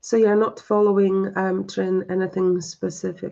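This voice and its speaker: At a fairly slow pace, a woman speaks in a monotone, flat delivery with a medium pitch and a dark, mellow tone. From Poland. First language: Polish. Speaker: psychic medium. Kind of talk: live-stream spiritual reading and chat. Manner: halting, many fillers.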